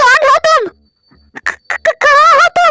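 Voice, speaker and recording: A squeaky, put-on character voice. It runs at a moderate pace. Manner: distressed, stammering.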